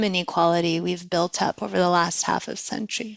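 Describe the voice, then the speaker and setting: A woman with a Persian accent speaks at a fairly quick pace. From US, first generation American, Iranian parents. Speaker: nonprofit executive. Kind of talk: interview.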